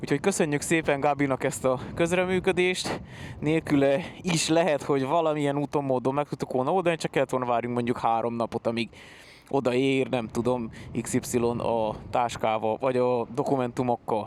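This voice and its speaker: At a moderate pace and medium pitch, a man speaks with very even loudness and ordinary pitch variation. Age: 30s. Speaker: motorcycle travel vlogger. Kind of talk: travel vlog talk. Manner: animated.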